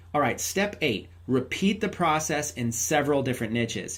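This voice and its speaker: A man speaks in an animated tone with very wide pitch swings. His voice is somewhat breathy. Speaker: online marketing trainer. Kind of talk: tutorial. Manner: fast.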